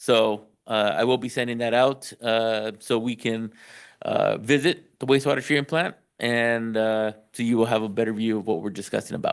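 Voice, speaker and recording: At a moderate pace, a man of medium pitch speaks with ordinary pitch variation over a quiet background. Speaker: city public works official. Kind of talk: council meeting discussion. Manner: hesitant, many fillers.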